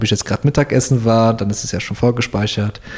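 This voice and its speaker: Somewhat breathy, a man at medium pitch talks at a fairly quick pace with fairly even intonation. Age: 20s. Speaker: SEO team lead. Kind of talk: interview. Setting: in person at workplace.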